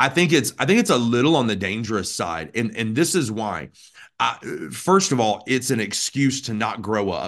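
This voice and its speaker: This is a normal speaking voice from a man with an American accent and a medium pitch. His intonation is lively against a quiet background. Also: moderate pace. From US South, Birmingham, Alabama. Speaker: pastor. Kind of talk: interview conversation.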